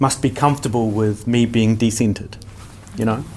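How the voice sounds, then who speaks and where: Noticeable background noise accompanies the recording. A man speaks at a medium pitch in a New Zealand accent. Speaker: podcaster and wedding officiant. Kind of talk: panel discussion. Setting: stage with audience. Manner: loud.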